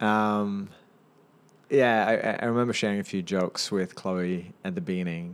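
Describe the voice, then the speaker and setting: With a New Zealand accent, a man talks at a moderate pace in a fairly low pitch with ordinary pitch variation, on a very clean recording over a silent background. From New Zealand (Auckland), raised partly in Singapore, born in India. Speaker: businessman and startup advisor. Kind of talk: casual interview chat.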